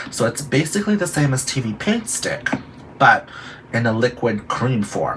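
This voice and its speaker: Through noticeable background noise, a man speaks at a moderate pace in a medium pitch with very wide pitch swings. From Guam and Philippines, then San Francisco. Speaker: drag queen and makeup vlogger. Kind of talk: makeup tutorial. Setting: bedroom. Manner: animated.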